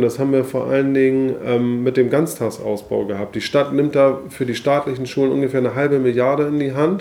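A man speaks in a normal speaking voice at a fairly quick pace, with hardly any pauses. His intonation stays fairly even. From Hamburg, northern Germany. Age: 40s. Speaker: politician. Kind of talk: interview.

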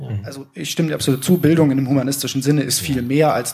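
Somewhat breathy, a man speaks at a very fast pace. His pitch is medium, with ordinary variation. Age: 20s. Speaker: teaching student. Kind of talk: audience discussion contribution. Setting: live event with audience.

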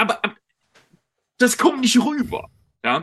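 A man speaks at a fairly slow pace. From United Kingdom. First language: English (speaking German). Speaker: journalist and lecturer on European politics. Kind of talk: interview on a livestream. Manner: halting, with fillers.

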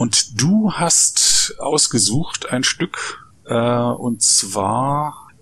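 With noticeable background noise around him, a man speaks at a very slow pace and a medium pitch, his pitch swinging very widely. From East Germany. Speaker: podcast host, Wikipedia volunteer. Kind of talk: interview.

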